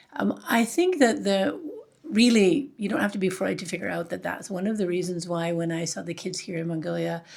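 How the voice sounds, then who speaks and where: A woman with a Canadian accent talks at a fairly quick pace against noticeable background noise. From Canada, northern British Columbia. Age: 60s. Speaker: charity founder. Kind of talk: interview. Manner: hesitant, many fillers.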